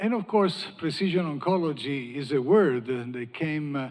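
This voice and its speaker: This man speaks with an Italian accent. His voice sits fairly high in pitch. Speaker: panel moderator, cancer researcher. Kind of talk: panel discussion moderation.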